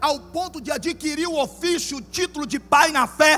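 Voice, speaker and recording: A man's extremely high voice at a fairly slow pace, with ordinary pitch variation. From Goiás, Brazil (interior). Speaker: pastor. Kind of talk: sermon.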